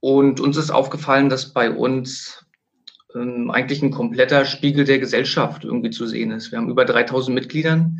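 With a plain, everyday voice, a man speaks at a moderate pace and medium pitch, his intonation fairly even. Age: 30s. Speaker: sports club director and coach. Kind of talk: interview.

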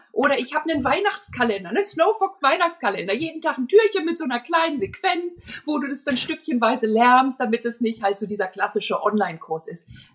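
Over noticeable background noise, a woman talks at a fairly quick pace with hardly any pauses, her high voice swinging very widely in pitch. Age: 50s. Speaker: marketing expert and dance school owner. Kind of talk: podcast interview.

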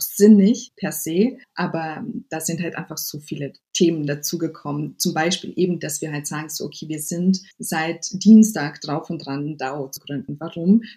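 A woman speaks at a moderate pace in a fairly low, somewhat breathy voice with a dark, mellow tone and ordinary pitch variation. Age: 30s. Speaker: web3 diversity advocate and founder. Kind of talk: interview. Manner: halting.

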